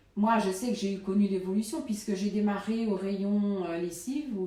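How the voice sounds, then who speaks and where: A woman speaks at medium pitch with ordinary pitch variation. The room echo is audible. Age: 50s. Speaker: supermarket worker. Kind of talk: interview testimony. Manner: halting, many hesitations.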